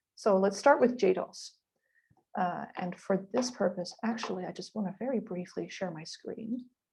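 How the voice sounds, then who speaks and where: Her tone dark and mellow, a somewhat breathy woman speaks with big swings in loudness and ordinary pitch variation. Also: medium pitch for a woman. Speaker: webinar presenter, linguistics researcher. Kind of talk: tutorial. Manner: fast.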